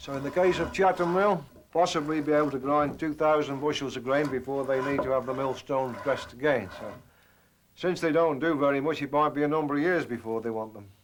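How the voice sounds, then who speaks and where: Speaking at a very fast pace with an English accent, a man with a fairly high pitch shows ordinary pitch variation against noticeable background noise. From England. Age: 60s. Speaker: millwright. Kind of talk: documentary interview, explaining craft.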